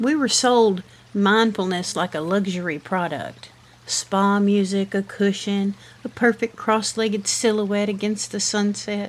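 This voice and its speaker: In a Southern US accent, a woman speaks with a gentle tone at a medium pitch and with fairly even intonation. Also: fairly slow pace. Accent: Southern American. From Southern United States. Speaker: podcast host. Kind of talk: reflective podcast monologue. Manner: slow, gentle.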